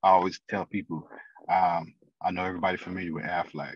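A man speaks in a very deep, low voice with an American accent and a flat, monotone delivery. His pace is moderate, and the sound is dry with no echo. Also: quiet background. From St. Louis, Missouri; Missouri. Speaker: financial consultant; podcast guest. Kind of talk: interview. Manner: halting, many fillers. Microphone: video call.

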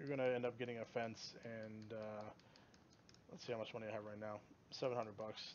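Relaxed male voice at medium pitch, monotone and flat, moderate in pace but broken by long, frequent pauses. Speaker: gaming video creator. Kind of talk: gameplay tutorial. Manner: rambling, many filler words; casual, relaxed.

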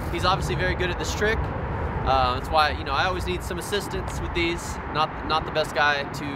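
A man speaks at an even, moderate tempo against loud background noise. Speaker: skating tutorial host. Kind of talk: casual tutorial vlog chat. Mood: relaxed, joking. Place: street. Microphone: lapel.

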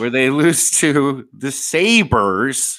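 Over a quiet background, a man speaks. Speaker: podcast host. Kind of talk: podcast interview host. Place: home room.

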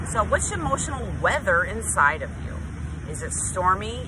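A woman speaks over loud background noise, the sound dry with no echo. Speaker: speaker. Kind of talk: motivational vlog talk. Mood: earnest, emphatic. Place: beach. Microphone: phone near.

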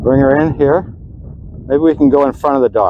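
Over faint background noise, a man speaks at a moderate pace and medium pitch with ordinary pitch variation, in a dry, close sound with no echo.

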